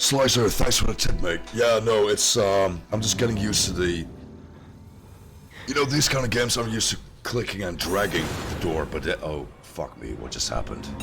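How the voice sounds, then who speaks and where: A fairly low-pitched man speaks with audible room echo. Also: lively intonation, moderate pace. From Netherlands. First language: Dutch. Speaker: gaming streamer. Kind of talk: live gameplay commentary. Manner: casual, animated.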